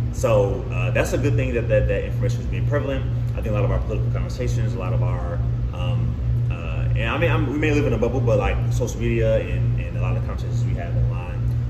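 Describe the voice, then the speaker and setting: A man talking at a very fast pace, with music in the background. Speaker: guest. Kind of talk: interview answer. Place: home room.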